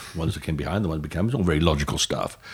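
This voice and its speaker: The speaker is a man with a very deep, low pitch. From Wales, Newport. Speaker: finance executive and charity chairman. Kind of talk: interview. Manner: halting, many repetitions.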